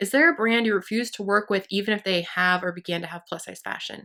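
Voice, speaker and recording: A woman with a West Coast accent talks at a fairly quick pace, her medium-pitched voice animated and bright with a sharp tone. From US Pacific Northwest. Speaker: beauty and fashion vlogger. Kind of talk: casual chat. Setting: home.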